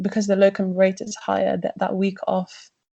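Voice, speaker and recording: A woman's medium-pitched, somewhat breathy voice with a British accent and monotone, flat intonation. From UK. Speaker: junior doctor. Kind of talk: interview.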